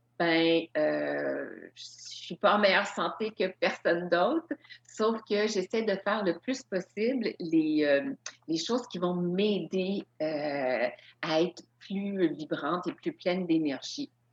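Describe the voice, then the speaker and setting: At a very slow pace, a woman with a medium-pitched voice speaks with lively intonation. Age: 60s. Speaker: yoga instructor and author. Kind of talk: lecture.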